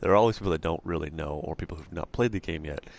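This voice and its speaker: Against a quiet background, a soft-spoken man talks with a very deep, low pitch. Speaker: video game let's play host. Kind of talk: gameplay commentary. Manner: halting.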